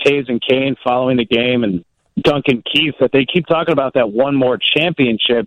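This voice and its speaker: A man with a fairly high pitch and a normal speaking voice at a moderate pace. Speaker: sports radio reporter. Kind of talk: casual chat.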